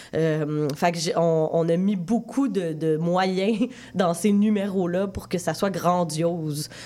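The woman talks very slowly. Her voice rests fairly low. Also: ordinary pitch variation. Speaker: film director. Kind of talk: interview.

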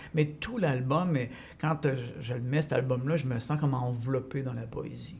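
At a fairly slow pace, a man with a medium pitch speaks in a somewhat breathy voice with fairly even intonation. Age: 60s. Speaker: poet and former teacher. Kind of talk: poetry reading and interview. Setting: radio studio.

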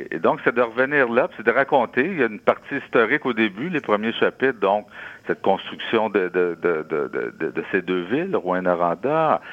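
His pitch rises and falls across a very wide range. The man talks fairly slowly. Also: medium pitch for a man. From Quebec, Abitibi-Témiscamingue. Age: 60s. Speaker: author. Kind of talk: radio interview.

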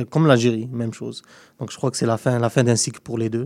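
Monotone, flat intonation from a man at a medium pitch with a dark, mellow tone. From Algeria. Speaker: football pundit. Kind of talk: casual chat.

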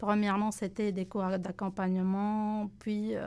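On a very clean recording with a silent background, a woman at medium pitch speaks at a very slow pace in a dark, mellow tone. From Lebanon. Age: 30s. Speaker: recent immigrant guest. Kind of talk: radio interview.

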